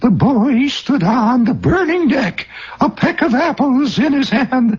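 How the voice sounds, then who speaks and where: A man's put-on character voice, extremely high-pitched, fairly slow, with lively intonation. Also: very even loudness. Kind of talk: pompous oratorical. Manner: preachy reading-aloud.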